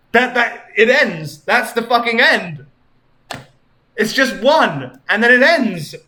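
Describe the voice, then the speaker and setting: A man's raised, projected voice, extremely high in pitch and bright and sharp in tone, with lively intonation, a very slow pace, long, frequent pauses and audible room echo. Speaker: streamer. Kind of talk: live stream chat.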